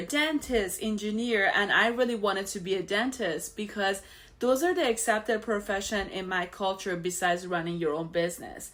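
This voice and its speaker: A bright, sharp tone with an Iranian accent, on a very clean recording with a silent background. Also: woman. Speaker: financial show host. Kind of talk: personal story monologue. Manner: casual, conversational with fillers.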